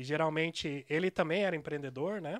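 A man with a fairly high voice talks very fast in a fairly even tone against a quiet background. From Curitiba, Brazil; Brazil. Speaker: software developer and news site co-owner; news site co-owner. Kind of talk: casual interview. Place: studio. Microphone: studio mic.

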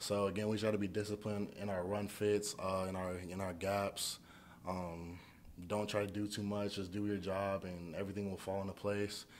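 A man talks at a moderate pace in a flat monotone, with light noise in the background. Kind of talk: interview answer. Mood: calm, resolute after a loss. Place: hall. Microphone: podium.

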